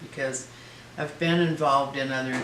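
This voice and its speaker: Monotone and flat, a man's voice comes through with audible room echo. Background noise is noticeable too. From Oregon, US Pacific Northwest. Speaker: elderly resident interviewee. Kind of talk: interview.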